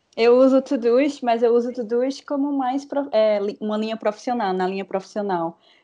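Her voice is high-pitched with a dark, mellow tone. The woman uses ordinary pitch variation against a quiet background. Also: moderate pace. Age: 20s. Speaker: podcast co-host, graphic designer. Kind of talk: casual chat.

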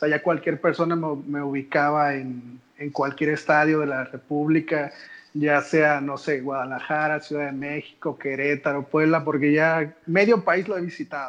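A man talks in a plain, everyday voice. His pitch is fairly high, and his pace is fairly slow. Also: fairly even intonation. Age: 20s. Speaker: football fan influencer. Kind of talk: casual chat.

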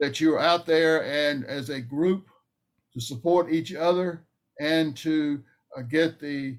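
Fairly even intonation from a fairly high-pitched man with a Southern US accent at a fairly slow pace. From North Carolina. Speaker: Vietnam veteran, veteran advocate. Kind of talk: interview.

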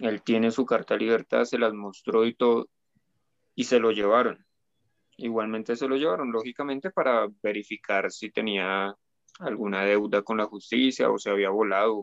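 A plain, everyday voice from a man at medium pitch, at a moderate pace with fairly even intonation and a dry, close sound with no echo. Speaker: guest. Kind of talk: casual chat.

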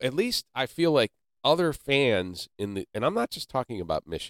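A plain, everyday voice with an American accent, lively intonation and a moderate pace, in a dry, close sound with no echo. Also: man. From Ohio (Canton). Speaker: podcast host. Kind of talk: casual chat. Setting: studio.

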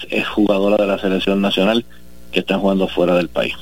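A man talks in a fairly low voice. Music plays in the background. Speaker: sports federation president. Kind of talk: interview.

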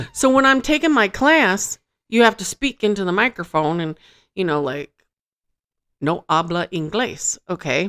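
A woman with an American accent at medium pitch, with very wide pitch swings, a moderate pace and long, frequent pauses, in a dry, close sound with no echo on a very clean recording with a silent background. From Michigan. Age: 40s. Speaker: podcast co-host. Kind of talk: casual chat.

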